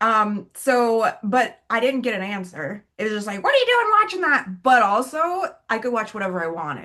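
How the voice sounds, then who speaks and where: Bright and sharp, a woman's fairly high voice runs on with an animated tone and hardly any pauses. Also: lively intonation, moderate pace. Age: 40s. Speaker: podcast co-host. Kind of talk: casual chat.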